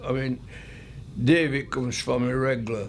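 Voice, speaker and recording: A man with a Yorkshire accent speaks at medium pitch. The room echo is audible. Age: 90s. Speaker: older guest of a tea-party charity. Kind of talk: interview testimony. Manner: halting.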